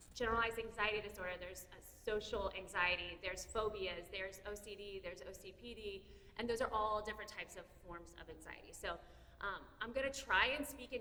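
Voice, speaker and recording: Audible room echo on fairly quick speech, the pitch varying in an ordinary way. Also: woman. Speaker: therapist. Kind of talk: presentation to parents. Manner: loud; fast.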